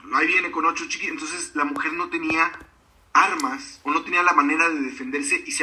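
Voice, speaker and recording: A man speaking at a fairly quick pace. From Mexico, Río Verde, San Luis Potosí. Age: 40s. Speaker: author and speaker. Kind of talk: interview. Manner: halting, many fillers.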